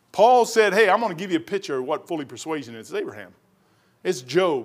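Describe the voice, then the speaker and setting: In a Kentucky accent, a man speaks at a very fast pace with very wide pitch swings. The recording is very clean, with a silent background. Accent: Southern US (Kentucky). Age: 60s. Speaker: pastor. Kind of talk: sermon. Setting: church. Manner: animated.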